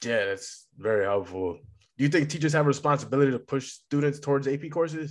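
Speaking very fast with an American accent, a man uses lively intonation at a fairly high pitch. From Massachusetts. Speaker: podcast host. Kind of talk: interview. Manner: casual.

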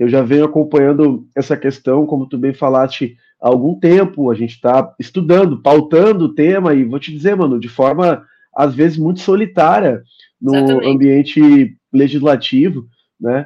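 This man's fairly high voice moves at a moderate pace, his pitch varying in an ordinary way. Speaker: state legislator. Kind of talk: political interview. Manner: hesitant, frequent filler sounds.

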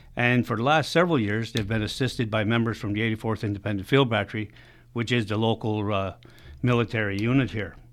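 This man's speech rushes along at a very fast clip. His voice sits at a medium pitch, and the intonation stays fairly even. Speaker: veterans legion secretary. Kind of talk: radio interview.

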